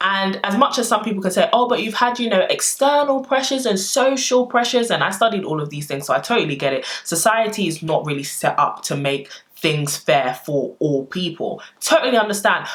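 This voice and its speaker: Over noticeable background noise, a woman speaks in an animated tone at a fairly high pitch. Her pace is fairly quick, and her pitch swings very widely. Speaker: lifestyle vlogger. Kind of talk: personal vlog monologue.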